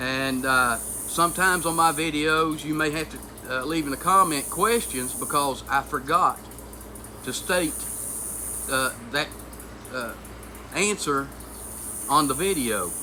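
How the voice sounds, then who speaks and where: Speech comes at a fairly slow pace with long, frequent pauses, and there is noticeable background noise. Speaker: homesteading channel host. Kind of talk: personal vlog monologue. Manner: halting, struggles for words.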